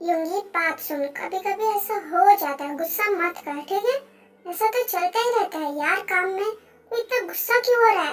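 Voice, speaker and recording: A squeaky, put-on character voice at an extremely high pitch. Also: moderate pace. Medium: fan dub. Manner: warm, earnest.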